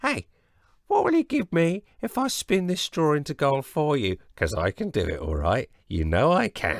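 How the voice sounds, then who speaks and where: In a put-on character voice, the speaker goes at a moderate pace on a very clean recording with a silent background. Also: man, dry, close sound with no echo. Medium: read story. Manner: sly, wheedling.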